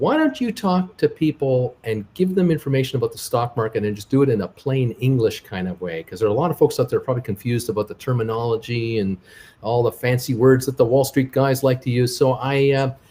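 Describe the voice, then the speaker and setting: A man's medium-pitched voice, dark and mellow in tone and somewhat breathy, with ordinary pitch variation, a very fast pace and hardly any pauses. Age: 60s. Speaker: stock market YouTuber and travel vlogger. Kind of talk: interview. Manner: halting.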